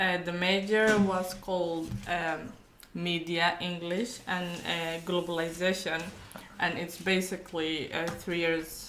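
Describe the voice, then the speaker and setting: Very slow, fairly even speech from a woman with a fairly low pitch, in audible room echo. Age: 20s. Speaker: university graduate. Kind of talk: casual chat. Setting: podcast.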